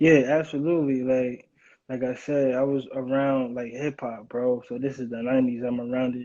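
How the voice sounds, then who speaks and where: This man's intonation is monotone and flat, and his pace is moderate. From New York (Brooklyn). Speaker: music producer. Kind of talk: casual interview chat.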